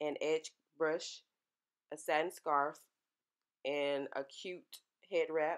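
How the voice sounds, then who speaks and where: A woman speaks with a very deep, low pitch and monotone, flat intonation. The background is quiet. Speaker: hair tutorial creator. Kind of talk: casual tutorial talk to camera.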